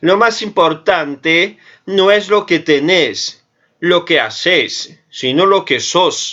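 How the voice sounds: In a put-on character voice, a man speaks very slowly and sing-song at a high pitch, keeping his loudness very even.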